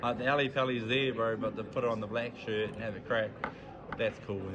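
Over noticeable background noise, a man with a New Zealand accent speaks in a monotone, flat intonation. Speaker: darts player. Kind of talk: casual interview. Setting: club venue.

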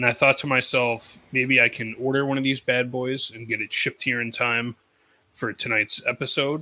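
The sound is dry and close with no echo. A man speaks at a medium pitch and moderate pace in a bright, sharp tone with monotone, flat intonation. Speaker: podcast co-host. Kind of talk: casual chat.

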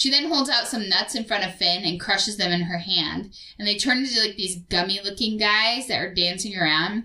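The recording holds an unforced reading voice from start to finish.

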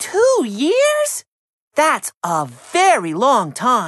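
A female-sounding put-on character voice sits fairly high in pitch. It moves at a very slow pace. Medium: read story. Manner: earnest, eager.

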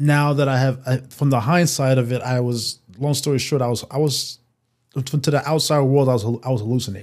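A man talks at a fairly quick pace with a medium pitch and fairly even intonation. His loudness stays very even, and the recording is very clean with a silent background. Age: 40s. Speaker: guest sharing bipolar disorder story. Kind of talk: casual chat. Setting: studio. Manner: halting.

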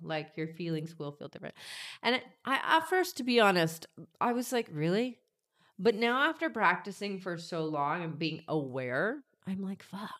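A woman with an American accent and a medium pitch speaks at a moderate pace with big swings in loudness and very wide pitch swings. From US South, Georgia. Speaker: life coach and healer. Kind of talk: interview, casual chat.

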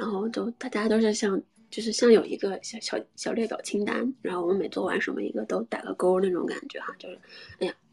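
A woman talks at a very fast pace with big swings in loudness. The sound is dry and close with no echo, and there is noticeable background noise. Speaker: sex and relationships podcast host. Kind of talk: casual live-stream chat. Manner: casual, many fillers.

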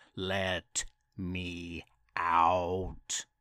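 In a put-on character voice, a man talks at a very slow pace with a bright, sharp tone, low pitch and monotone, flat intonation, on a very clean recording with a silent background.

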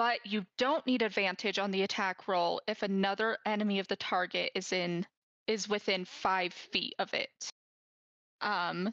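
A woman uses a normal speaking voice at medium pitch, moving at a fairly slow pace with fairly even intonation and very even loudness, in a dry, close sound with no echo and a quiet background. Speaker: podcast co-host. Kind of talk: casual chat.

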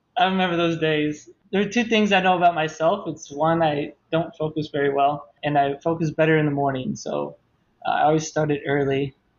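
Here a man with an American accent and a fairly high pitch speaks at a moderate pace with fairly even intonation, in an unremarkable speaking voice. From Ohio, near Toledo. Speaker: medical student. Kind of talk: casual chat.

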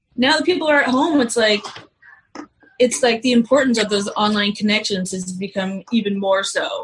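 Speaking in a normal speaking voice at a moderate pace, a woman uses a fairly high pitch with lively intonation. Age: 40s. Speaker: cannabis mom community organizer. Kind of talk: casual chat.

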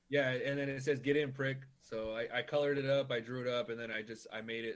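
A man's normal speaking voice at a medium pitch, with an American accent, a fairly quick pace and fairly even intonation. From Norwalk, Los Angeles County, California. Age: 30s. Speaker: cactus collector. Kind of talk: casual chat.

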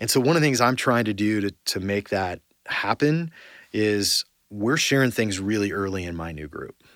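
In a very clean recording with a silent background and a dry, close sound with no echo, a man with a fairly low pitch talks at a moderate pace with lively intonation. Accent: Californian. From Southern California (Orange County). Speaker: corporate executive. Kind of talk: interview.

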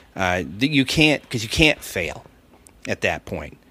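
Bright, sharp male tone at a moderate pace. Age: 50s. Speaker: stand-up comedian. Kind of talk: casual chat. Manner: long-winded talker.

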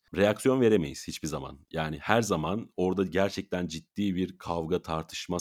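Speech moves at a moderate pace. The background is silent and the recording very clean. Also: man. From Turkey, Mersin. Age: 20s. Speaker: sports announcer and event presenter. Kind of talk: interview.

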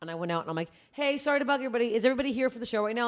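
A woman speaks in a high voice. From Canada. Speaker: comedian. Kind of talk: casual chat. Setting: studio.

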